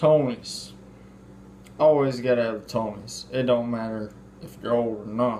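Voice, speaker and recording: A man with an American accent at a medium pitch, long and frequent pauses, fairly even intonation, big swings in loudness, and audible room echo. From US South, Mississippi. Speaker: home cook, video host. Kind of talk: cooking tutorial. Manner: slow; casual.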